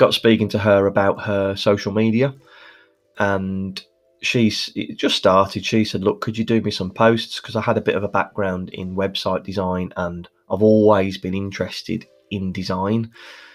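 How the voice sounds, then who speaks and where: A man with a Birmingham accent, fairly low in pitch, moderate pace, flat monotone delivery, music playing behind. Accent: Birmingham (Brummie), noticeable. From Birmingham, England. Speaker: podcast host, social media manager for mortgage brokers. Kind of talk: solo podcast monologue, conversational. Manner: conversational, uses fillers like um.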